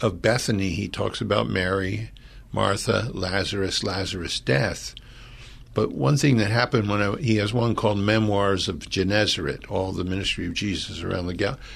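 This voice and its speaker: A man's fairly low voice with vocal fry, a moderate pace and ordinary pitch variation. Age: 70s. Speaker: pastor. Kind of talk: casual chat. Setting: studio.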